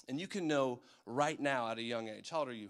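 On a very clean recording with a silent background, a man speaks in a plain, everyday voice at a moderate pace with ordinary pitch variation. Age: 30s. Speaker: youth pastor. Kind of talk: sermon. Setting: church. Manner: casual.

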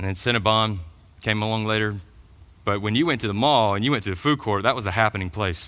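The recording is very clean, with a silent background. A man with a Georgia accent speaks fairly quickly in a bright, sharp tone. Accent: Southern American (Georgia). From US South, middle Georgia. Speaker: pastor. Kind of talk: sermon. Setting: church.

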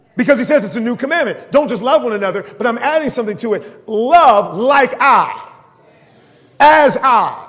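An extremely high-pitched man with lively intonation and audible room echo. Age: 30s. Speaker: pastor. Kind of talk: sermon.

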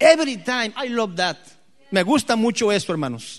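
A high-pitched man's voice with lively intonation at a fairly slow pace. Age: 50s. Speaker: pastor. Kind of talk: sermon. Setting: church.

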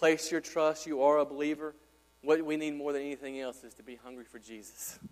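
This man has an unremarkable speaking voice, a fairly high pitch and a fairly quick pace. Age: 30s. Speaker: pastor. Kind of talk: Sunday-morning expository sermon delivered to a live congregation. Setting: church. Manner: earnest, conversational preaching, building in urgency through repeated exhortations; casual, chatty asides with frequent fillers and stumbling repetitions.

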